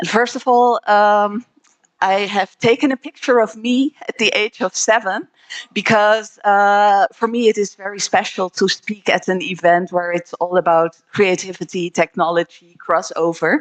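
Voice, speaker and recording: A woman speaks at a moderate pace in a medium pitch, with ordinary pitch variation and a dry, close sound that has no echo. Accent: Dutch. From Netherlands. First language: Dutch. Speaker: trade promotion representative. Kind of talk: panel presentation.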